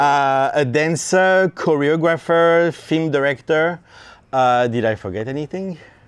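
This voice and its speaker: Speaking at a fairly slow pace, a man with a French accent has a fairly high pitch and ordinary pitch variation. The recording is very clean, with a silent background. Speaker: interviewer, filmmaker. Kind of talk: interview. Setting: production studio. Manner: halting, many fillers.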